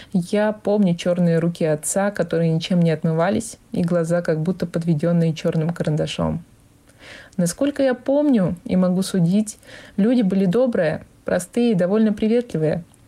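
Somewhat breathy and dark, mellow in tone, a woman with a fairly low pitch speaks with ordinary pitch variation and very even loudness. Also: moderate pace. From Vorkuta, Komi Republic. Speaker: former resident sharing memories. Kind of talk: recorded personal reminiscence.

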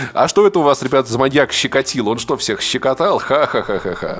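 Speaking at a fairly quick pace with very wide pitch swings, a man with a medium pitch is heard over noticeable background noise. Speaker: podcaster. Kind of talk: casual chat.

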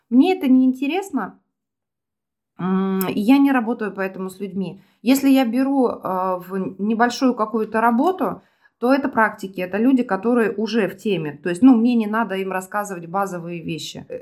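A woman's normal speaking voice, fairly high in pitch, with lively intonation at a moderate pace in a very clean recording over a silent background. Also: big swings in loudness. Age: 40s. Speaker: self-described witch and psychologist. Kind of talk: casual chat.

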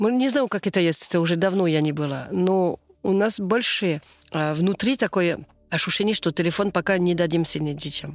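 Fairly low female voice in a French accent, moderate pace and ordinary pitch variation, dry and close with no echo, very clean recording with a silent background. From southern France. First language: French (speaking Russian). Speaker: French immigrant mother. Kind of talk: interview. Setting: outdoors near yurt. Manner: halting.

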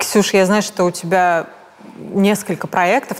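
A woman speaks at a moderate pace with ordinary pitch variation amid noticeable background noise. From Russia, Tomsk. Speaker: fashion journalist, podcast host. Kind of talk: interview.

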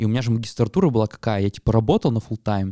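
The recording is very clean, with a silent background. A man speaks in a fairly low pitch with a dark, mellow tone. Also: dry, close sound with no echo. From Yekaterinburg, Russia. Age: 20s. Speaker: podcast co-host, data scientist. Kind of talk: casual chat.

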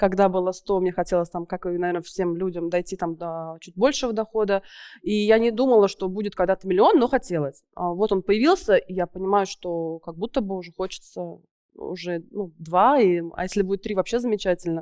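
Her tone is dark and mellow, at a medium pitch, with big swings in loudness. This woman speaks at a moderate pace. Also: ordinary pitch variation. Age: 40s. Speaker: furniture business owner. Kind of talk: business consultation on stage.

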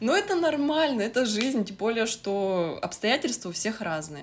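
On a very clean recording with a silent background, a woman talks fairly slowly while her pitch swings very widely. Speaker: sewing blogger. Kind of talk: casual chat.

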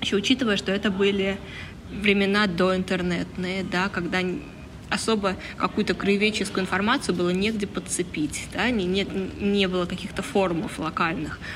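Intonation stays fairly even as the woman talks. Noticeable background noise mixes with audible room echo. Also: medium pitch for a woman, moderate pace. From northern Leningrad Oblast, Russia (Vyborg district). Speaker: comics artist and illustrator. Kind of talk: casual interview. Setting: outdoors in a courtyard.

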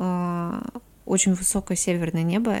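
A woman with an ordinary speaking voice and medium pitch talks with ordinary pitch variation on a very clean recording with a silent background. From Komi Republic, Russia (Syktyvkar). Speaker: podcast guest. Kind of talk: casual chat.

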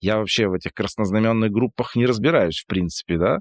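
In a dry, close recording with no echo, a man uses an unremarkable speaking voice at a fairly low pitch with ordinary pitch variation. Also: very clean recording, silent background. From Perm region, Urals, Russia. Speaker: brand designer. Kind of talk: casual interview conversation.

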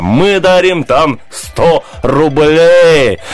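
Music plays behind a man who speaks at a high pitch in a playful tone. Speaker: radio host. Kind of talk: casual banter on morning radio show. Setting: studio. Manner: playful, joking.

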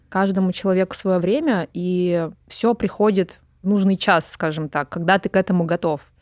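A plain, everyday voice at a moderate pace, with ordinary pitch variation, comes through a very clean recording with a silent background and a dry, close sound with no echo. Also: woman. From Urals, Russia (Pervouralsk near Yekaterinburg). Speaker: film director and photographer. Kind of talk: interview.

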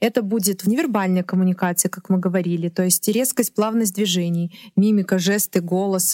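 A woman talks at a moderate pace in an unremarkable speaking voice of medium pitch, recorded with a dry, close sound and no echo. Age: 30s. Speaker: stylist. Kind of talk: podcast interview. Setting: studio.

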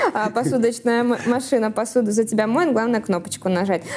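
A woman's fairly high-pitched voice over noticeable background noise. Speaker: podcast host.

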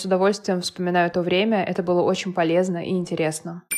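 A woman speaks at a medium pitch. Her pace is very fast. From Moscow, Russia. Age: 30s. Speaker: podcaster and mother. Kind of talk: personal monologue.

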